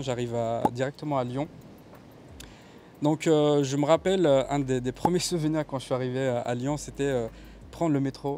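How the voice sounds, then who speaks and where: A man speaks with a fairly high pitch and a dark, mellow tone. His pace is moderate, with ordinary pitch variation. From Kabylie, Algeria. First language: Kabyle (speaking French). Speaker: videographer. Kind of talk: interview testimony. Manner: hesitant, many fillers.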